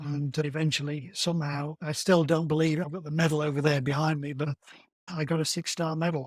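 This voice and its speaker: Somewhat breathy and fairly high-pitched, a man with a British accent speaks at a fairly quick pace with monotone, flat intonation. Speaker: marathon runner. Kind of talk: interview.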